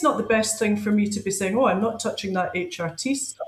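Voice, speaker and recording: Her voice is somewhat breathy, and the woman's intonation is lively. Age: 50s. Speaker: powerlifter and strength coach. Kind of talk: casual chat.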